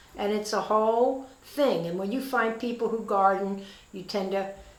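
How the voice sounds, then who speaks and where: A woman talks at a moderate pace with fairly even intonation. Room echo can be heard around her voice. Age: 80s+. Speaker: retired real estate agent. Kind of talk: casual interview. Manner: halting.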